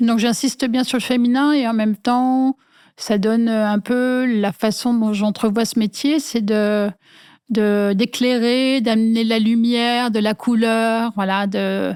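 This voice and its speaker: In a very slow, fairly high voice with fairly even intonation, a woman speaks at very even loudness. The sound is dry and close with no echo, on a very clean recording with a silent background. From rural France, small village. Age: 60s. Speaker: industrial designer. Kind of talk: interview. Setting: at home. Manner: hesitant, many fillers.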